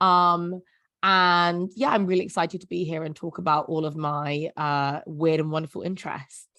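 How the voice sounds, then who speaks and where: A woman with a London accent speaks at a moderate pace, her fairly low pitch carrying a bright, sharp tone. Her intonation stays fairly even against a quiet background. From South London, England. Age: 20s. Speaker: writer and poet. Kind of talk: casual chat.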